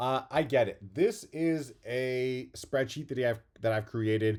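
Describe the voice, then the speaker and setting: A man talks at a fairly slow pace with ordinary pitch variation, in an unremarkable speaking voice. The recording is very clean, with a silent background. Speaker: real estate agent. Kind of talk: tutorial.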